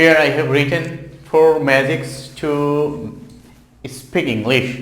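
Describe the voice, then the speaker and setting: A man at a medium pitch with a Bengali accent, speaking at a very slow pace, amid noticeable background noise and audible room echo. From Bangladesh. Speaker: English teacher. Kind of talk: tutorial.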